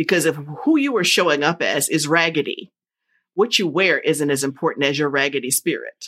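A woman speaks at a fairly quick clip in a very deep, low voice, with an animated tone and ordinary pitch variation. Her loudness stays very even, and the recording is very clean with a silent background. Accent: American. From New Jersey. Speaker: podcast host and confidence coach. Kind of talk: casual interview chat.

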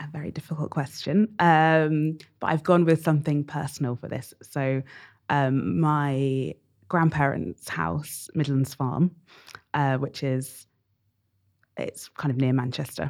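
A woman speaks at a fairly slow pace in a very deep, low voice with ordinary pitch variation, recorded very cleanly against a silent background. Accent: southern English. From England, Bedford. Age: 30s. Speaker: curator and writer. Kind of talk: casual interview.

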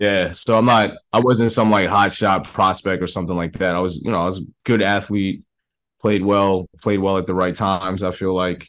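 A man with an American accent, very deep and low in pitch, monotone and flat, at a moderate pace. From New York, the Bronx. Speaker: film director. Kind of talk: interview.

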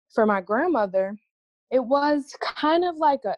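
In a dry, close recording with no echo, a woman with an American accent and an unremarkable speaking voice talks at a moderate pace with lively intonation. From Cleveland, Ohio. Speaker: podcast co-host. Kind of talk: casual chat.

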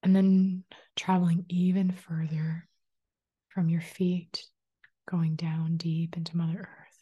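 Very slow, somewhat breathy speech from a woman, dark and mellow, soothing and gentle in tone, in a flat monotone with long, frequent pauses. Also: fairly low pitch for a woman. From Manitoba, Canada. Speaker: spiritual life coach and energy healer. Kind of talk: guided meditation; solo podcast talk. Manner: soothing, slow and gentle; calm, inviting.

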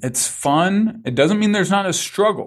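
Lively intonation and a moderate pace mark this man's unremarkable speaking voice, captured on a very clean recording with a silent background. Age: 40s. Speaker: business coach and speaker. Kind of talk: interview conversation.

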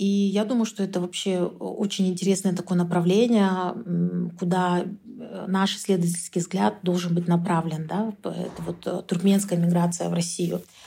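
This woman's voice is fairly low in pitch and somewhat breathy. She keeps a moderate pace and fairly even intonation. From Kyrgyzstan. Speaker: researcher. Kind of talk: interview.

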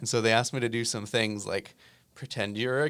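A man with an American accent talks at a medium pitch and a moderate pace, with ordinary pitch variation and an unremarkable speaking voice. The recording is very clean, with a silent background. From US Northeast, New Jersey. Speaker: musician and app founder. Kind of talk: interview. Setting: studio.

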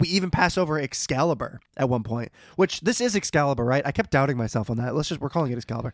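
In a very clean recording with a silent background, a man with a fairly high pitch speaks at a very fast pace. He leaves hardly any pauses. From USA. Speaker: podcast host. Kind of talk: casual chat.

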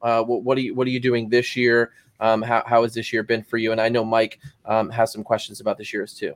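A man speaking at a very fast pace, with monotone, flat intonation. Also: medium pitch for a man. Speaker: podcast co-host. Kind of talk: casual interview.

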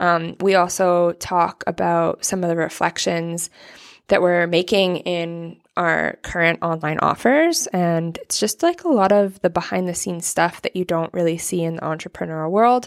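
On a very clean recording with a silent background, a woman with an unremarkable speaking voice and fairly low pitch talks at a moderate pace with ordinary pitch variation. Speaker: podcast host. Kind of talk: interview conversation on podcast.

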